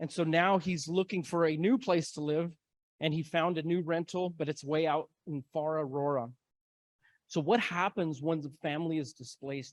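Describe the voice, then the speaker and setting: A man speaks at a moderate pace in an unremarkable speaking voice with an American accent. His pitch is fairly high with ordinary variation, and the sound is dry and close with no echo. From Denver, Colorado (East Denver). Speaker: community organizer and moderator. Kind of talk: symposium talk.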